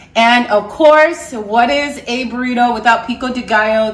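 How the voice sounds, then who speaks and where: Fairly slow delivery from a woman, pitch varying in an ordinary way. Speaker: home cook host. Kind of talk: cooking tutorial. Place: kitchen. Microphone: camera far.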